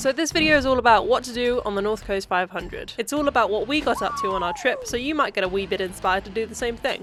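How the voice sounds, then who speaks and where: Over noticeable background noise, a woman with a southern English accent and a fairly high pitch talks at a very fast pace with lively intonation and hardly any pauses. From Cambridge, UK. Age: 20s. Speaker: travel vlogger. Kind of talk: travel vlog narration.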